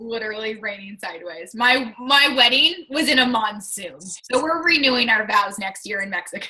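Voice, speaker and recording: An unremarkable speaking voice with an American accent, lively intonation and a moderate pace. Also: woman. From Washington State, US Pacific Northwest. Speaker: fitness coach. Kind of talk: casual chat.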